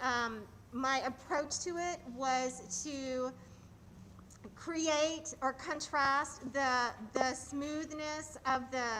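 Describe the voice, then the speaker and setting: A woman's high, bright, sharp voice, raised and projected, at a very slow pace with fairly even intonation. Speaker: choreographer. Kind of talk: casual chat. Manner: loud.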